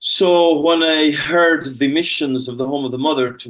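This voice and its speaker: A man speaks with an Irish accent. His pace is moderate and his intonation fairly even. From Ireland. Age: 50s. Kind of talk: interview testimony.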